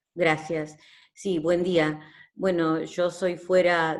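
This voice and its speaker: A woman speaks very slowly in a fairly low voice. Her intonation is monotone and flat. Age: 70s. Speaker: patient attending a talk. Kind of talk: audience comment in online seminar. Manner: halting.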